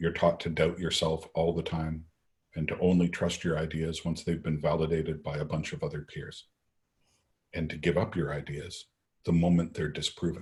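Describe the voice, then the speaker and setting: With a very deep, low pitch, a man speaks at a moderate pace in a monotone, flat intonation that sounds somewhat breathy. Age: old. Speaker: lecturer, scientist. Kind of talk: Q&A after a lecture.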